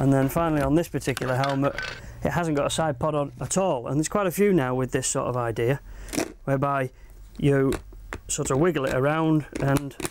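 A man talks at a fairly quick pace with fairly even intonation. The sound is dry with no echo, but background noise is noticeable. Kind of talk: tutorial. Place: shop. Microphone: lapel.

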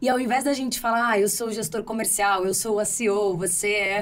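Pitch varies in an ordinary way as a woman speaks at a moderate speed. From Brazil. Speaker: podcast host. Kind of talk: podcast interview. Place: studio. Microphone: studio mic.

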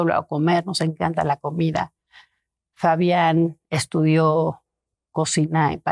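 Her pitch is very deep and low, her intonation monotone and flat, and the woman's voice sounds dry with no echo. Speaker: art collector; interview guest. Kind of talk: casual interview chat; interview answer. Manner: halting, many repetitions. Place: home room. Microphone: lapel.

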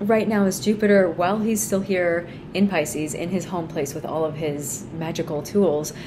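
A woman's fairly low voice at a moderate pace, with ordinary pitch variation over noticeable background noise. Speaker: astrology reader. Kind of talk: astrology forecast talk. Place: home room. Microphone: phone near.

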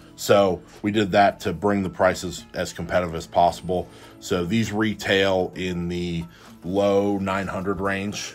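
Against faint background music, a man with a very deep, low pitch speaks at a fairly slow pace with fairly even intonation. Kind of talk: product explanation during a tour. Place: office. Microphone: phone near.

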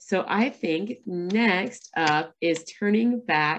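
The woman's intonation is lively. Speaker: moderator and coach; moderator, coach. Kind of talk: webinar moderation. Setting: video call. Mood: warm, upbeat. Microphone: video call.

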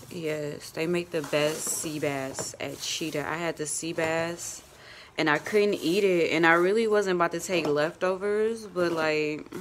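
A woman speaks with fairly low pitch and fairly even intonation. Noticeable background noise is present. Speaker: vlogger. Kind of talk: casual vlog; phone call. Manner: filler-heavy casual speech.

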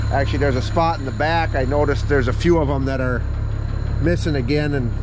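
A man is heard over noticeable background noise, with a dry sound and no echo. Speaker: farmer vlogger. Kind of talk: casual vlog chat. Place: farm machine. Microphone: phone near.

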